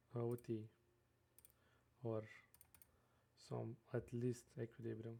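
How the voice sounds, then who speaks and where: A man with a non-native accent speaks at medium pitch in a dark, mellow, somewhat breathy tone with monotone, flat intonation. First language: not English. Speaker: day trader. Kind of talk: screen-share trading tutorial. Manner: halting, many fillers.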